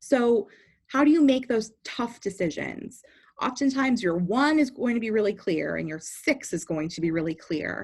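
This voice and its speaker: In a very clean recording with a silent background, a woman speaks at medium pitch, somewhat breathy, with lively intonation. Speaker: speech and debate coach. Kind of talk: tutorial.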